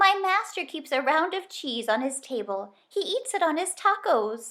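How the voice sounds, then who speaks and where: Putting on a squeaky character voice, a woman speaks at an extremely high pitch with very wide pitch swings at a moderate pace. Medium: read story. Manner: bleating.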